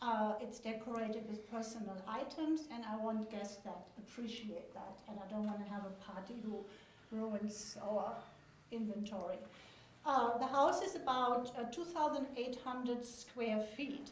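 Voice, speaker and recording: With noticeable background noise and audible room echo, a woman talks at a fairly slow pace, her pitch fairly high with ordinary variation. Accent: German. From Germany. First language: German. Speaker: vacation home owner. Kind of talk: public comment at a hearing. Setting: public meeting room.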